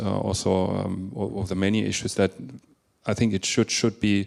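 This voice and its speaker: A man speaks at a moderate pace in a fairly low voice, his intonation flat and monotone, on a very clean recording with a silent background. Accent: German. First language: German. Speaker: education and marketing speaker. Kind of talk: panel discussion.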